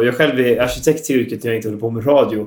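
Fairly even intonation marks a man's voice. He speaks at a very fast pace. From Västergötland, Sweden. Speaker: radio host and architect. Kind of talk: radio interview. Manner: halting, many fillers.

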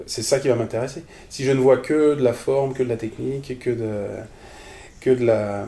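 A man with a dark, mellow tone and medium pitch speaks at a moderate pace, his intonation fairly even, with long, frequent pauses. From France, Strasbourg (Alsace). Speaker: improv theatre teacher and performer. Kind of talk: casual interview. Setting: at the guest's home. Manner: halting, many repetitions.

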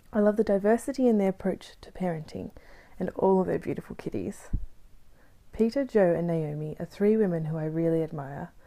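Woman with an Australian accent, a dark, mellow tone and a fairly quick pace. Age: 20s. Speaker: podcast host. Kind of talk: scripted narration.

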